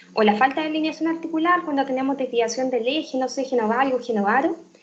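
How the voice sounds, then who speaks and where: A woman's high-pitched voice at a very fast pace, over noticeable background noise. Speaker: physician lecturer. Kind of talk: lecture.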